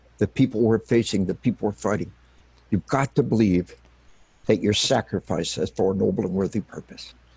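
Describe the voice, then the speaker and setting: Somewhat breathy, a man speaks at a fairly quick pace. His tone is dark and mellow. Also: dry, close sound with no echo. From Arkansas. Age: 60s. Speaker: retired army officer and military psychology author. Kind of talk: interview. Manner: impassioned, emphatic.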